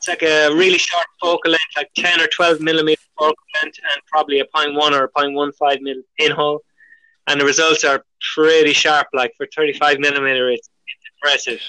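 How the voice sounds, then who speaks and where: In an Irish accent, a man talks at a fairly quick pace with fairly high pitch and a bright, sharp tone. His intonation is monotone and flat, and the sound is dry and close with no echo. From Ireland. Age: 40s. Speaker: pinhole camera maker. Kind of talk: casual chat.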